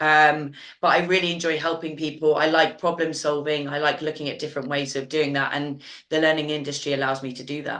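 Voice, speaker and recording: A woman speaks in a British accent at a very deep, low pitch and a fairly quick pace. Her intonation is monotone and flat, with audible room echo. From UK. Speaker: learning consultant. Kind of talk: webinar panel discussion.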